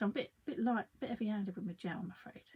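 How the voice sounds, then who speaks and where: A woman speaks with a somewhat breathy voice. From London. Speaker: craft artist. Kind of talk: live craft tutorial. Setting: livestream. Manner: chatty, rambling.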